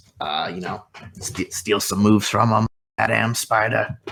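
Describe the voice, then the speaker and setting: A man puts on a raspy character voice, speaking at a moderate pace with fairly even intonation. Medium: actual play. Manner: rambling, filler-heavy.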